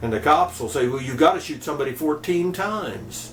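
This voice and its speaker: A man's fairly high voice at a moderate pace, lively in intonation, over noticeable background noise. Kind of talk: casual talk to camera, commentary.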